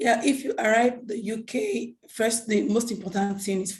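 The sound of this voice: In a hoarse, put-on character voice, a woman speaks at a moderate pace against a quiet background.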